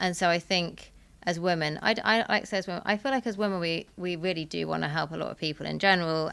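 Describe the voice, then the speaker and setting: A plain, everyday voice from a woman, fairly low in pitch, with ordinary pitch variation and a fairly quick pace. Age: 40s. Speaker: founder and angel investor. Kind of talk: live podcast panel answer.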